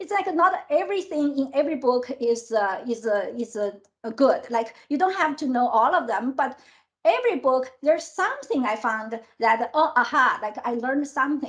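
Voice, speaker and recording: A woman with a non-native accent speaks at a moderate pace in a high pitch, her intonation lively. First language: not English. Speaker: tech executive. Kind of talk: interview. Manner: halting.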